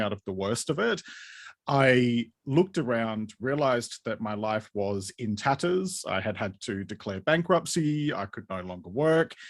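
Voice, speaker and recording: A man with an Australian accent speaks at a moderate pace, medium in pitch with lively intonation. The recording is very clean, with a silent background. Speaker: podcaster and mental health writer. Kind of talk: interview.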